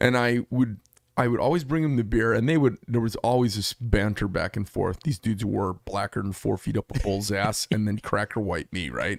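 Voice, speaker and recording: Captured with a dry, close sound and no echo, a man with an Arizona accent talks at a moderate pace and medium pitch with ordinary pitch variation. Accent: Arizona way of talking. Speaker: knife shop owner. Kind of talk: casual chat.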